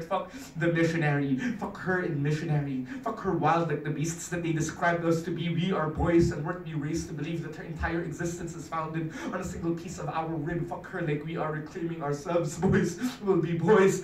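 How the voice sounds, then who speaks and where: A man at a high pitch, fairly even intonation, a fairly quick pace and hardly any pauses, with audible room echo and light background noise. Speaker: spoken word poet. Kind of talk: spoken word poetry performance. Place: meeting room. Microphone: camera far.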